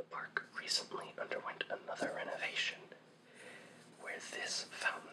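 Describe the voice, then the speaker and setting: Whispering at a moderate pace, a man is heard. Noticeable background noise sits behind him. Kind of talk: ASMR history explainer. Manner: whispered, soft.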